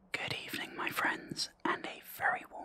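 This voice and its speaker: Through noticeable background noise, a man can be heard whispering. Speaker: mental health awareness campaigner. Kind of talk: ASMR gaming whisper ramble. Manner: whispered, slow, soft-spoken.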